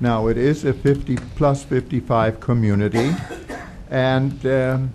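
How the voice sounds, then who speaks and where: Background noise is noticeable as a man speaks at a medium pitch. His pace is very slow and his intonation fairly even. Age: 70s. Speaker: resident speaking at public comment. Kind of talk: public comment at council meeting. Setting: township council meeting.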